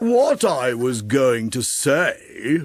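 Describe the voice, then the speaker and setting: A man does a put-on character voice. He pitches it fairly high. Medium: audio drama. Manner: solemn, pompous, formal.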